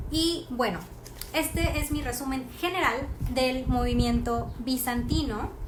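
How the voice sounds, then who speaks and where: At a very slow pace, a woman speaks amid noticeable background noise and audible room echo. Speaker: art history presenter. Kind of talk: live stream talk. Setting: Instagram live stream. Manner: many fillers, halting.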